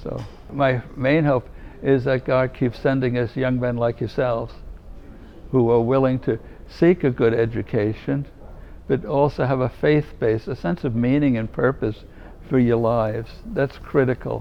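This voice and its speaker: A man talks at a moderate pace with a New York accent. His pitch is medium and his intonation fairly even. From New York City, Manhattan. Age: 70s. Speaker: religious brother and former chaplain. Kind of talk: interview, advice to students. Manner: warm, conversational.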